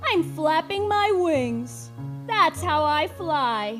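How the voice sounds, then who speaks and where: A woman's put-on character voice at a very slow pace, with clear music in the background. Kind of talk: children's story reading. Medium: stage play.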